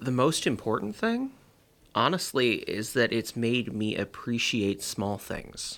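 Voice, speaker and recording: A man with a normal speaking voice talks at a fairly slow pace in a medium pitch. His pitch varies in an ordinary way on a very clean recording with a silent background. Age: 30s. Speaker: mental health professional. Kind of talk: casual interview about his depression.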